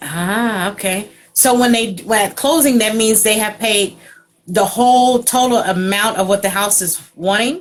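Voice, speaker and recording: Fairly high in pitch and fairly slow, a woman speaks in an unremarkable speaking voice. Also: ordinary pitch variation. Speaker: radio host. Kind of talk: interview. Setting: video call.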